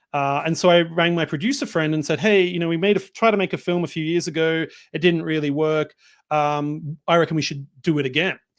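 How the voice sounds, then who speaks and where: With an Australian accent, a man talks at a fairly quick pace in a fairly high pitch and fairly even intonation, on a very clean recording with a silent background. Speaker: filmmaker. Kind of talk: interview.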